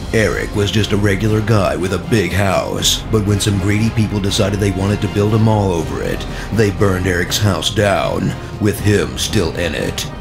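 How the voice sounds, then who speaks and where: A man talks at a fairly low pitch. Clear music plays in the background. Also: moderate pace. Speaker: voice actor. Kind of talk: movie trailer. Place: studio. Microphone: studio mic.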